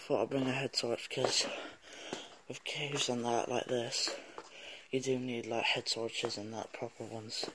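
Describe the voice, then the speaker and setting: Over noticeable background noise, a man talks at a moderate pace in a monotone, flat delivery with long, frequent pauses. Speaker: explorer vlogger. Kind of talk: casual vlog chat. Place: tunnel cave. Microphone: phone near.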